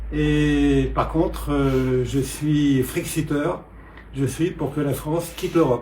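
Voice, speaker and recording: A man speaks with audible room echo. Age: 70s. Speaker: political candidate. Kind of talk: interview. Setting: at his home. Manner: hesitant, many filler sounds.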